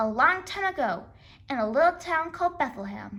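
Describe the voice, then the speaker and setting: A woman puts on a character voice, pitched high, with very wide swings in pitch. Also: moderate pace. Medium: read story.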